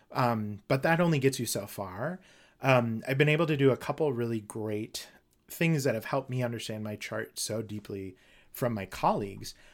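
An unremarkable speaking voice with an American accent, moderate pace, ordinary pitch variation, and a very clean recording with a silent background. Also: man, medium pitch for a man. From Minnesota. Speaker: astrologer and educator. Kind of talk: interview.

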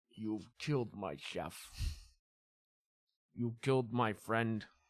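A man does a put-on character voice, guttural and medium-pitched, speaking at a very slow pace.

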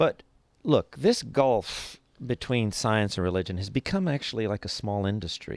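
With an American accent, a man uses a normal speaking voice at a moderate pace, fairly low pitch and lively intonation, in a very clean recording with a silent background and a dry, close sound with no echo. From US West Coast, East Los Angeles. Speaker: scientist and former TV science correspondent. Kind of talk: interview.

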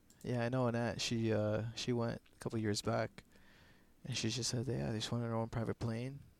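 Here is a man with medium pitch and an ordinary speaking voice. His intonation is fairly even and his pace fairly quick. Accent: Canadian. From Canada. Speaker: podcast guest. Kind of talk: casual chat.

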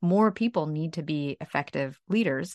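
A woman with a plain, everyday voice speaks at a fairly low pitch with lively intonation, in a dry, close sound with no echo and a quiet background. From Ukraine, raised in Brooklyn, New York. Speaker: author and leadership trainer. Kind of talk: interview.

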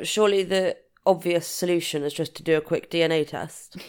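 In a British accent, a woman speaks at a moderate pace. The recording is very clean, its background silent. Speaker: true crime podcast co-host. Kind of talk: casual chat, commentary.

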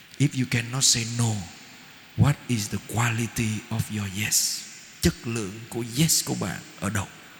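A man at a medium pitch and a fairly slow pace, ordinary pitch variation, noticeable background noise. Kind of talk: sermon. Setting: church.

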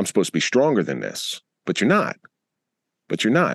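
A man with an American accent talks at a very fast pace with very wide pitch swings and vocal fry, in a dry, close sound with no echo and a quiet background. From US Northeast, Atlantic City area, New Jersey. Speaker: retired police officer and podcaster. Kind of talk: interview. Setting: video call.

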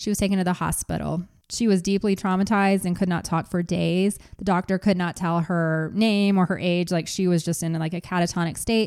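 On a very clean recording with a silent background, a woman talks at a fairly quick pace with hardly any pauses. Her medium-pitched voice keeps a monotone, flat intonation. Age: 40s. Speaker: podcast host. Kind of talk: true crime storytelling.

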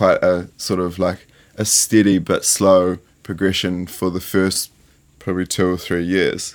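A man's fairly low voice with a New Zealand accent, at a fairly slow pace, on a very clean recording with a silent background. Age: 20s. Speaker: fashion designer. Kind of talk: interview. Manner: halting.

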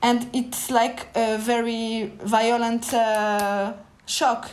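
In a French accent, a woman speaks at a fairly high pitch with monotone, flat intonation. Audible room echo surrounds her voice. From France, Paris suburbs (Pantin). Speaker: novelist. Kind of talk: interview.

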